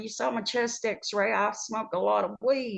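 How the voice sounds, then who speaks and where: A woman speaks at a fairly high pitch. Vocal fry runs through her voice. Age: 60s. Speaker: nurse. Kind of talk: testimony.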